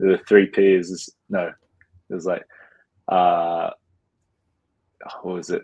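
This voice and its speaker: Speaking with an Australian accent, a man uses a very deep, low pitch and a monotone, flat intonation, going fairly slowly with long, frequent pauses. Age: 20s. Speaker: professional basketball player. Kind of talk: interview. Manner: casual, many fillers.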